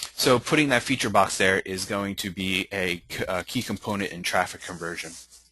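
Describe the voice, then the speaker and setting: Over noticeable background noise, a man speaks fairly quickly with ordinary pitch variation. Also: fairly low pitch for a man. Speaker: webinar presenter on content marketing. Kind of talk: webinar presentation. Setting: online webinar. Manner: hesitant, many fillers.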